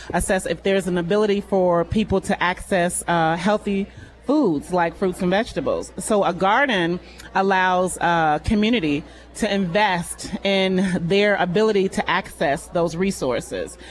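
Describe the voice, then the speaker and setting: A woman with a plain, everyday voice speaks at a moderate pace and fairly low pitch, with ordinary pitch variation and very even loudness. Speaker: public health official. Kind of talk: interview. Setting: live event with audience.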